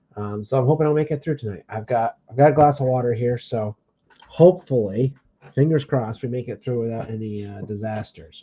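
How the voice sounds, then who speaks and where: A man with a dark, mellow, somewhat breathy tone talks at a fairly quick pace at a medium pitch, with ordinary pitch variation and big swings in loudness. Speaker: card break livestream host. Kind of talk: livestream hosting.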